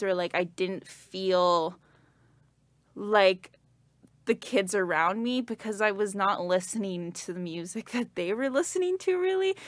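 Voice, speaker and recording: A woman with a Canadian accent, a normal speaking voice at a medium pitch and a moderate pace, with ordinary pitch variation, in a very clean recording with a silent background. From Canada. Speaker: performer and sound designer. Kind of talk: casual interview chat. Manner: casual, many fillers.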